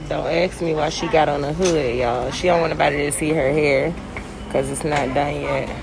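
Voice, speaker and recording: Noticeable background noise and audible room echo, with a moderate pace and fairly even intonation. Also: woman, very deep, low pitch for a woman. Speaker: lifestyle vlogger. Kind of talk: casual vlog talk to camera. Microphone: muffled by lip mask.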